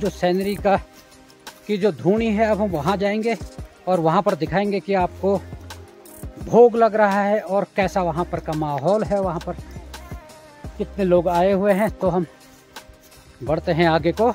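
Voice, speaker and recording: With faint music in the background, a man speaks in a high pitch for a man with fairly even intonation and long, frequent pauses, and the sound is dry with no echo. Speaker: travel vlogger. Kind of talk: casual vlog chat. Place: forest. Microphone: phone near.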